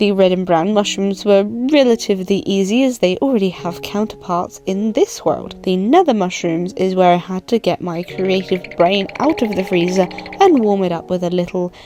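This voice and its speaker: A woman at a medium pitch and moderate pace, ordinary pitch variation, hardly any pauses, and noticeable background noise. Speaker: artist. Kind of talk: art commentary narration.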